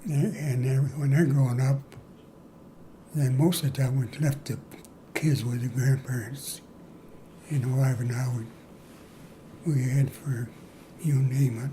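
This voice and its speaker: A man's somewhat breathy, dark, mellow voice with an American accent, fairly slow with long, frequent pauses and fairly even intonation. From Moline, Illinois, US Midwest. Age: 90s. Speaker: war veteran. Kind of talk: interview. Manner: halting.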